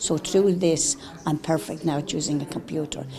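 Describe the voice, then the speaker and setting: A woman speaks with an Irish accent at fairly low pitch. Noticeable background noise is present. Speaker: care-home survivor. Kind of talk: TV interview testimony.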